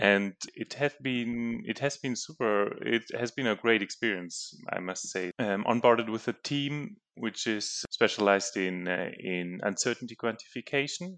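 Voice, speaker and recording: A German accent at a moderate pace, with a quiet background and a dry, close sound with no echo. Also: man, medium pitch for a man, ordinary pitch variation. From Germany. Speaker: geophysics researcher. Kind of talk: casual interview.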